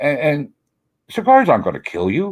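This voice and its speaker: Speaking with an American accent, a man keeps to a moderate tempo. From US Northeast, Philadelphia. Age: 70s. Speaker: cigar retailer. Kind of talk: interview chat. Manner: halting, repeats words.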